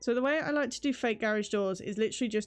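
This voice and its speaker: Over music in the background, a woman with a British accent speaks fairly quickly in a fairly high pitch with ordinary pitch variation. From Britain. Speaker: VTuber streamer. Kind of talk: casual gameplay stream chat. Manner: casual, chatty.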